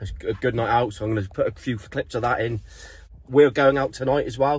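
Somewhat breathy, a man talks at a fairly quick pace with ordinary pitch variation in a dry sound with no echo. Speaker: surf van-life vlogger. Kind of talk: casual vlog chat. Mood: a bit hungover but cheerful. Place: car. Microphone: phone near.

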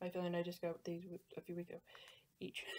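A woman's voice over light background noise. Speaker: college student vlogger. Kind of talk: casual vlog chat. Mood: cheerful, slightly flustered. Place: home room. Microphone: webcam.

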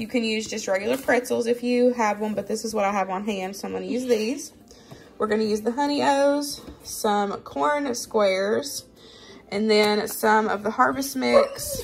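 There is light background noise. The woman's pace is moderate, and her pitch varies in an ordinary way. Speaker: home cooking vlogger. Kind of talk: casual tutorial chat. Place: kitchen. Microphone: phone near.

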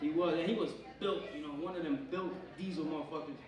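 A man with an American accent talks at a very fast pace in a high pitch with lively intonation. There is light background noise and audible room echo. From Pennsylvania, US. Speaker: stand-up comedian. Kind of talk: stand-up comedy set, crude and profane, riffing on roaches, gym advice and his girlfriend. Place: stage.

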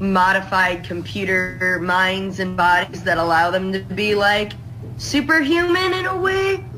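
A woman talks at a fairly slow pace. Light background noise sits behind her. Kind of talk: casual conversational explanation. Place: home room.

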